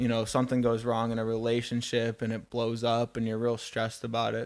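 In a very clean recording with a silent background, a man speaks at a medium pitch and a moderate pace. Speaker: chiropractic student. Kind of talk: casual chat. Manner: energetic.

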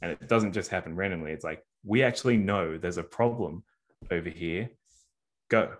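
A man's very deep, low voice in an Australian accent, at a moderate pace broken by long, frequent pauses. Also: ordinary pitch variation. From Sydney, Australia, of New Zealand Māori parents. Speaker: sports media and digital strategy executive. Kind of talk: casual interview. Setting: at home, remote call.

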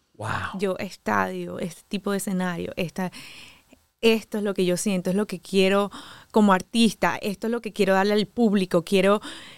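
In a coastal Colombian accent, a woman speaks at a moderate pace and medium pitch with fairly even intonation, on a very clean recording with a silent background and a dry, close sound with no echo. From Caribbean coast of Colombia. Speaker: DJ and violinist. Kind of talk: interview. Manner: swallows word endings when accent shows.

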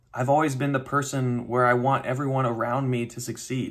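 Fairly quick and somewhat breathy, a man with an American accent talks at a medium pitch in a monotone, flat intonation. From US South, North Carolina (Raleigh). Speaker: podcast host. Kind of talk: monologue.

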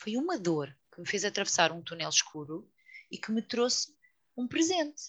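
An unremarkable speaking voice from a woman, medium in pitch and moderate in pace, over a quiet background. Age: 40s. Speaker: yoga teacher and author. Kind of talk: casual chat.

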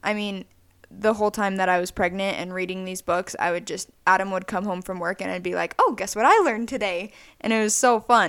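A woman's plain, everyday voice, medium in pitch with fairly even intonation at a fairly quick pace, on a very clean recording with a silent background. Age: 20s. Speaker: podcast co-host. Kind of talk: casual chat.

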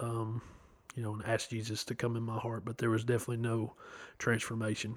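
This man speaks at a medium pitch with a Tennessee accent. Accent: Southern US (Tennessee). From US South, Chattanooga, Tennessee. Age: 30s. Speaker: guest sharing life story. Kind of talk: testimony. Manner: hesitant, many fillers.

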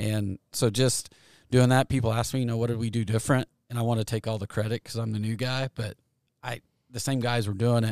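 A man with a US Midwestern accent speaks in a monotone, flat intonation. The recording is very clean with a silent background, and the sound is dry and close with no echo. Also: medium pitch for a man, fairly quick pace. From Kansas, US Midwest. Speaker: golf course superintendent. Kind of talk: interview. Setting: outdoors by a golf green.

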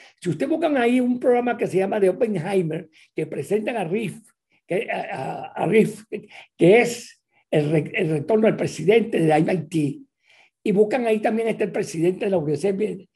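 The man's voice is high-pitched, with a dark, mellow tone. He speaks at a moderate pace with lively intonation. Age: 80s+. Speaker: university rector. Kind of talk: panel discussion.

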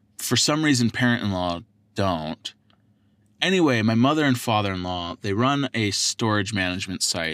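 Fairly low in pitch, a man with an American accent uses an ordinary speaking voice with lively intonation at a moderate pace. The recording is very clean with a silent background and a dry, close sound with no echo. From Southern California, Oceanside. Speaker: podcast host. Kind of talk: casual solo podcast monologue.

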